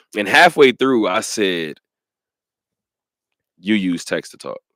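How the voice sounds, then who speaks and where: A man's bright, sharp voice with vocal fry and an animated tone, dry and close with no echo, on a very clean recording with a silent background. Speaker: sports radio host. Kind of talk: casual chat. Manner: fast.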